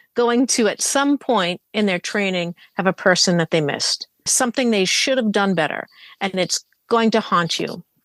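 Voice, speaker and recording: With a Boston accent, a woman talks at a moderate pace and medium pitch. Her pitch varies in an ordinary way against a quiet background. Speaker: podcast guest, fan of the show. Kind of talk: casual podcast chat, reading listener feedback.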